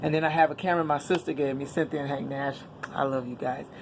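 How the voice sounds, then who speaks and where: A woman with a very deep, low pitch talks over noticeable background noise. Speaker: vlogger and actress. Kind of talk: casual vlog chat. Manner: loud; animated.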